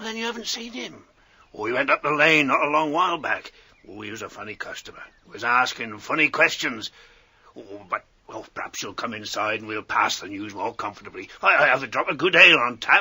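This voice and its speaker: A man's raspy, fairly high-pitched put-on character voice at a fairly quick pace. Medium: audio drama. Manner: rustic, chatty, hearty.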